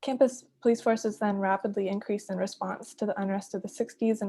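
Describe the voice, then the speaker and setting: At a very fast pace comes a somewhat breathy voice. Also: woman. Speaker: doctoral researcher on campus policing history. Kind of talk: presentation. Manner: soft-spoken.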